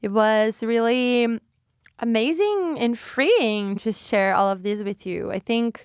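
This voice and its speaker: A woman with a Brazilian accent, fairly high pitch and ordinary pitch variation at a fairly slow pace, dry and close with no echo on a very clean recording with a silent background. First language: Portuguese. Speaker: podcast host. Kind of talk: casual solo podcast talk. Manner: halting, self-correcting.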